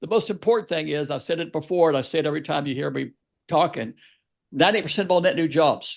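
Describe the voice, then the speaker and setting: Against a quiet background, a man talks very fast at a fairly high pitch, with vocal fry and ordinary pitch variation. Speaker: small business advocate, podcast co-host. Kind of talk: podcast discussion.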